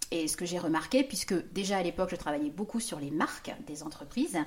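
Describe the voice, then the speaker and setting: At a fairly quick pace, a woman talks in a normal speaking voice of medium pitch. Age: 50s. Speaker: business consultant. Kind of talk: casual chat.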